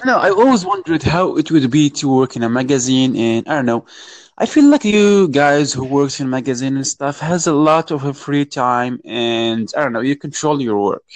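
Speaking with a Moroccan accent, a man uses a fairly high pitch with ordinary pitch variation at a moderate pace, in a dry, close sound with no echo. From Morocco. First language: Arabic. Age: 20s. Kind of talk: casual chat.

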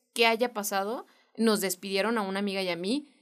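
Fairly slow and fairly even in intonation, a woman speaks at medium pitch. The recording is very clean, with a silent background. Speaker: podcast co-host. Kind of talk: casual chat.

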